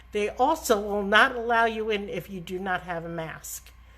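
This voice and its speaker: Her medium-pitched voice, in a New York accent, moves at a moderate pace with fairly even intonation. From New York (Bronx, Long Island). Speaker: travel agent. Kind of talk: live stream talk. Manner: casual, chatty.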